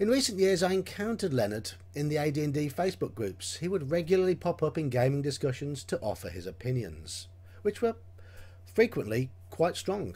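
A man with a dark, mellow tone and somewhat breathy voice speaks at a moderate pace, his pitch swinging very widely. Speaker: game reviewer. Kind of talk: review commentary. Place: home room. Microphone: webcam.

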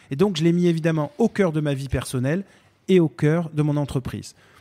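On a very clean, silent recording with a dry, close sound and no echo, a man speaks fairly quickly in a dark, mellow tone with ordinary pitch variation. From Marseille and Paris, France. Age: 40s. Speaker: business founder. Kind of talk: interview. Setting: company office. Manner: hesitant with many fillers.

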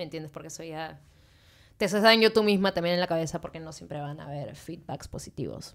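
A woman talks at a very fast pace in a fairly low pitch, with ordinary pitch variation. Her loudness swings widely over a quiet background. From Peru, Lima; Peru. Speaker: musician; podcast guest. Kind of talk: casual chat. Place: studio. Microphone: studio mic.

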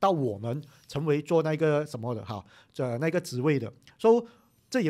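Against a quiet background, a man with a fairly high pitch talks at a fairly quick pace with lively intonation. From Malaysia. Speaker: political commentary YouTuber; podcast guest. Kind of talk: casual chat. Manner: halting. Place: studio.

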